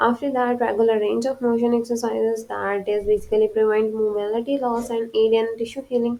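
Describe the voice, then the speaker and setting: Speaking with a non-native accent, a woman has a fairly high pitch and a dark, mellow tone. Her intonation is fairly even and her pace moderate. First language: not English. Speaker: physical therapy lecturer. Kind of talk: lecture. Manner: halting, with fillers and restarts.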